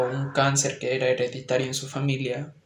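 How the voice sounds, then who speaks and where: Amid noticeable background noise and audible room echo, a man talks at a fairly slow pace in a fairly high pitch. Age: young. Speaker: podcast co-host and student. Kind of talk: casual chat.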